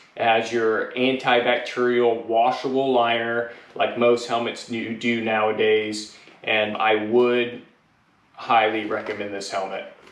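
The room echo is audible. A man speaks at a fairly slow pace. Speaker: helmet reviewer. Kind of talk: product review talk. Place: garage. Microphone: camera far.

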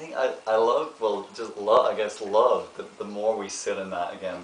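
Light background noise and audible room echo surround a man speaking at a moderate pace. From Ireland. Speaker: actor and meditation therapist. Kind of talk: interview answer. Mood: warm, earnest, gentle. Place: home room.

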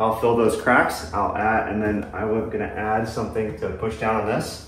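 A man's voice carries audible room echo. Light background noise sits behind him. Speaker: ham radio hobbyist. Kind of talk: tutorial. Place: home room. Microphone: camera far.

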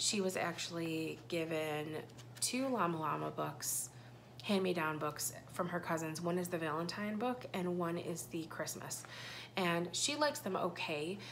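Against light background noise, a woman talks at a fairly slow pace in a fairly low pitch with ordinary pitch variation. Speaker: parent vlogger. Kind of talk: casual vlog chat. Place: home room. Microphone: phone near.

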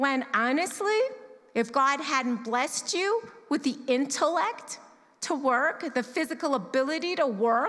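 Her pitch is high for a woman, and her intonation is lively. The woman speaks at a fairly slow pace over a quiet background. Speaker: church member sharing testimony on giving. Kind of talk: testimony, personal talk to congregation. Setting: church service. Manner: conversational, candid. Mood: sincere, reflective. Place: church. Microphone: handheld.

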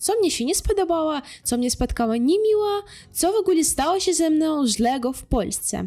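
A woman's extremely high voice with a dark, mellow tone, very wide pitch swings and a moderate pace. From Ukraine. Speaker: vlogger. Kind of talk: casual talk to camera.

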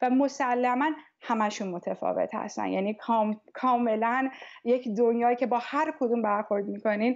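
Over a quiet background, a woman talks at a moderate pace in a high voice with ordinary pitch variation. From Tehran, Iran. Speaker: music teacher. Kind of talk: interview. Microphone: earbuds.

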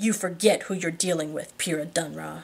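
In a put-on character voice, the speaker growls at a moderate pace. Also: woman. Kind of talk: reading a novel aloud. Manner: speaking through clenched teeth, threatening.

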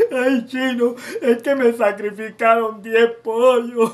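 A man speaks in a put-on character voice at an extremely high pitch, fairly slowly, with monotone, flat intonation. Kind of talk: comic sketch monologue. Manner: tearful, complaining.

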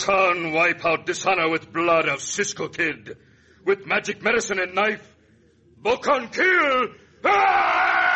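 Putting on a character voice, a man delivers a raised, projected, shrill sound at a high pitch, with a menacing tone, very even loudness and a fairly slow pace. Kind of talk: stock radio Indian broken English. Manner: menacing, accusing, building to a war shriek.

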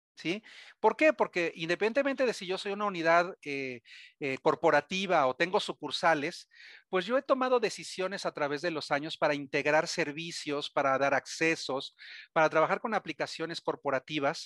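A man's high voice with a Mexican accent, at a moderate pace with lively intonation, dry with no echo against a quiet background. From Mexico. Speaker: cybersecurity vendor presenter; presenter. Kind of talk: webinar presentation. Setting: webcast. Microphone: video call.

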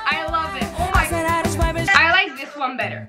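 Music runs in the background while a woman talks. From Netherlands. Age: young. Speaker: YouTuber. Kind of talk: casual talk to camera. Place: home room. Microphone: phone near.

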